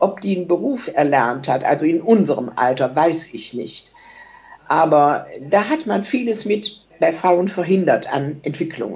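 A woman speaks at a fairly slow pace with a fairly low pitch. Her pitch swings very widely. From Germany, Solingen; Germany. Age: 80s+. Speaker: contemporary witness; witness. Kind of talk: interview reminiscence. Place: home room. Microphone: webcam.

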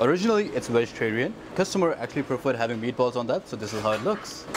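There is noticeable background noise. Over it, a man speaks very fast. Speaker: restaurant staff guide. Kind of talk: tour guide commentary. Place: hall. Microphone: lapel.

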